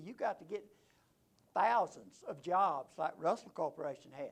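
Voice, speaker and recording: A man speaks in an Alabama accent. His pitch swings very widely. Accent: Southern US (Alabama). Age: 70s. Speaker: city council candidate. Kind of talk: campaign speech at a candidate forum. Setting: conference room.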